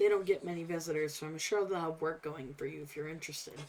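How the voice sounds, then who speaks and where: Using a put-on character voice, a woman speaks in a fairly low, raspy register with fairly even intonation. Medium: game stream. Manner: wry, folksy, talkative.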